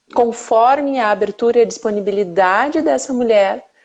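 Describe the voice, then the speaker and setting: Moderate pace from a woman with a southern Brazilian accent, fairly high in pitch, with ordinary pitch variation. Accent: southern Brazilian (gaúcho). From interior of Rio Grande do Sul, Brazil. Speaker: mothers' mentor. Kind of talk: casual chat.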